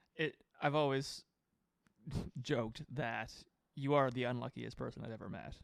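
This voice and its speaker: A man's medium-pitched voice with vocal fry, fairly even intonation, a moderate pace, and long, frequent pauses. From Halifax, Nova Scotia. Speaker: podcast co-host, musician. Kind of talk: casual chat.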